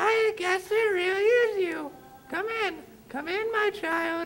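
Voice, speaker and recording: A squeaky, put-on character voice at an extremely high pitch. It moves at a fairly slow pace over background music. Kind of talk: 1890s melodrama. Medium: stage play. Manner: falsely sweet, hesitant.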